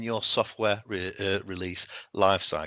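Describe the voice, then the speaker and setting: A man is speaking. He has a British accent. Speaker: solutions engineer presenting in a webinar. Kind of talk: webinar presentation. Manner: halting with self-corrections.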